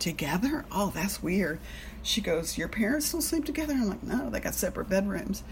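A woman talks at a fairly quick pace and a medium pitch with very wide pitch swings over noticeable background noise. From Alabama, US South. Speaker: recovery meeting speaker sharing her story. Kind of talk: personal testimony. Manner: casual, filler-heavy.

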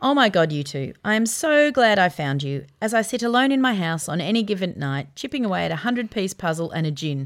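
On a very clean recording with a silent background, a woman with an Australian accent talks at a fairly quick pace, with very wide pitch swings and hardly any pauses. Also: medium pitch for a woman. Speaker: podcast host. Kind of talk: casual chat.

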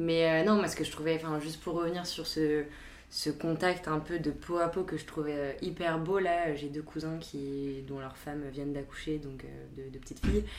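A woman's very deep, low voice in a flat monotone at a moderate pace, with audible room echo and noticeable background noise. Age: 20s. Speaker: recent graduate. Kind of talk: casual chat.

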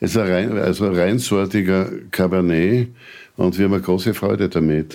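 This man has an ordinary speaking voice, pitched fairly low. His intonation stays fairly even. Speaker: winegrower. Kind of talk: casual chat. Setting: kitchen.

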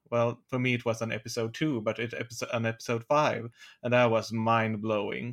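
A man speaks at a fairly quick pace with a Swedish accent. His delivery is monotone and flat. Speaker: podcast co-host. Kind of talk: casual chat.

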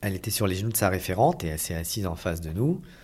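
A man talks with a very deep, low pitch and lively intonation. His voice is somewhat breathy. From Paris region, France. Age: 40s. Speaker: adoptive father. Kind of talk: testimony.

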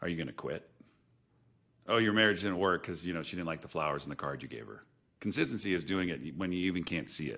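Talking very fast with an animated, bright, sharp tone, a man has a very deep, low pitch with vocal fry and ordinary pitch variation. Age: 40s. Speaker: business founder. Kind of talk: casual chat.

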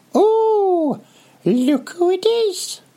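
This is a put-on character voice pitched extremely high. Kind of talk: casual, teasing.

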